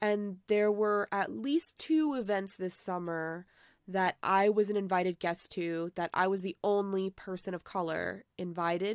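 A woman speaks with a plain, everyday voice at a medium pitch and a fairly slow pace, with ordinary pitch variation. The recording is very clean, with a silent background and a dry, close sound with no echo. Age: 30s. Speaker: streamer and teacher. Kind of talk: casual chat.

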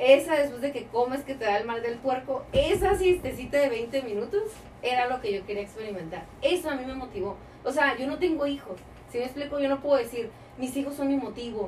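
A woman's high voice at a fairly quick pace, with lively intonation and noticeable background noise. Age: 30s. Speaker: entrepreneur. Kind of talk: interview.

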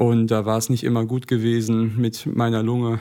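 A man is speaking here. His pitch is medium and his pace moderate. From Essen, Ruhr area, Germany. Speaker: carnival club president, student. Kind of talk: casual interview.

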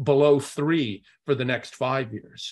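The background stays quiet. A man delivers his words fairly slowly. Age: 60s. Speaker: investment executive. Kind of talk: interview. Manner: halting.

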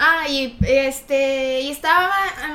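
A woman's raised, projected voice, high-pitched, bright and sharp, with fairly even intonation. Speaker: youtuber. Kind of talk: casual chat.

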